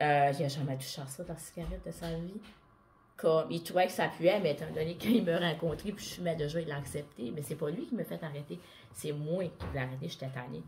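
Over light background noise, a woman with a Quebec accent talks very deep and low with vocal fry, ordinary pitch variation and a fairly quick pace. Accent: Québécois French. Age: 30s. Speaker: vlogger. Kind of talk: personal monologue vlog. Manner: casual. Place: home room. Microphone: earbuds.

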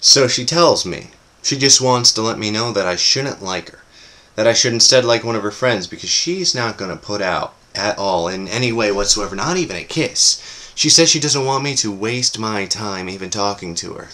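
A man speaks at a moderate pace with lively intonation and big swings in loudness. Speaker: actor performing audition monologue. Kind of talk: performed comedic monologue. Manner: animated, wry, conversational; playful, laughing, cocky swagger. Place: home room. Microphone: webcam.

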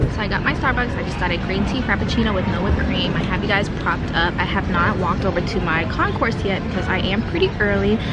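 A woman talks at a very fast pace. Her voice sounds dry with no echo, and music plays in the background. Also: hardly any pauses. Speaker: travel vlogger. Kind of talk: casual vlog chat. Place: cafe. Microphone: phone near.

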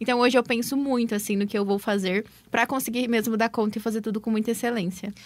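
At a very fast pace, a woman speaks with a fairly high pitch and monotone, flat intonation. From Brazil, Cambé (Paraná); Paraná, Brazil. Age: 20s. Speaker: digital business mentor and entrepreneur. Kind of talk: radio interview. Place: studio.

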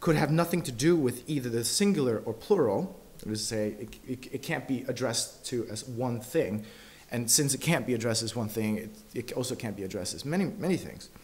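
This man speaks at a moderate pace, his pitch swinging very widely. His voice is somewhat breathy. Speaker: conference speaker. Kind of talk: lecture. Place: hall.

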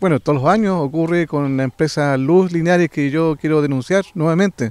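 Speech at a moderate pace with ordinary pitch variation comes through dry with no echo against a quiet background. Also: man. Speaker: community representative. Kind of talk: interview. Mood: indignant, complaining. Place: garden. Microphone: handheld.

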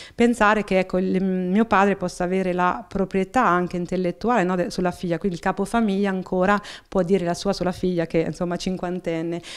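A woman's medium-pitched voice, monotone and flat, at a fairly quick pace on a very clean recording with a silent background. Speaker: local politician. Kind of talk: interview. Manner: halting, many fillers.

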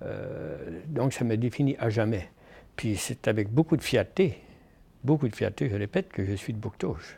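With a dark, mellow, somewhat breathy tone, a man speaks at a moderate pace with lively intonation and long, frequent pauses. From Acadian New Brunswick, Canada. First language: French. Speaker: professor and author. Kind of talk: interview conversation. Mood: proud, reflective storytelling. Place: meeting room. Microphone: lapel.

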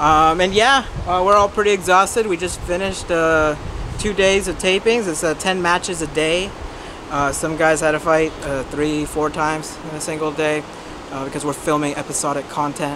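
Noticeable background noise sits behind a man speaking at a moderate pace with ordinary pitch variation. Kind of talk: interview answer. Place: street.

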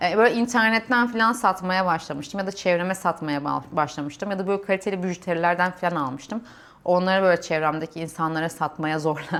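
The recording is very clean, with a silent background. A woman talks at a fairly quick pace with a fairly low pitch and ordinary pitch variation. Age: 30s. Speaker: civil engineer and vlogger. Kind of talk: personal vlog monologue. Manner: hesitant, many fillers.

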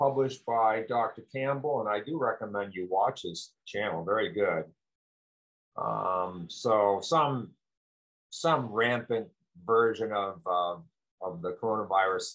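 Against a quiet background, a man with a fairly low voice talks at a fairly slow pace with ordinary pitch variation and long, frequent pauses. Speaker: health educator. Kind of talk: commentary. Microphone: webcam.

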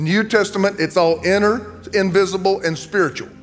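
A man's high voice at a moderate pace, with ordinary pitch variation and faint music in the background. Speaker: preacher. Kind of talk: sermon. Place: church. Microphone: handheld.

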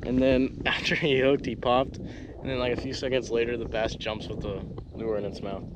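Through noticeable background noise, a man speaks with fairly even intonation in a dry sound with no echo. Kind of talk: casual vlog chat. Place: waterside. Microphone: phone near.

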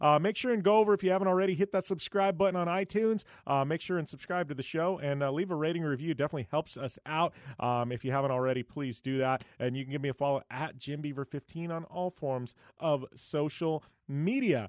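The background is quiet. A man talks very fast with ordinary pitch variation. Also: dry sound with no echo. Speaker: podcast host. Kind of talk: podcast intro monologue. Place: studio.

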